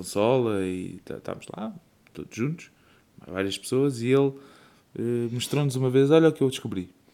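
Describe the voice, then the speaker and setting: A man speaks in a European Portuguese accent. His intonation is lively. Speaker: podcast co-host and father. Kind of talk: casual chat.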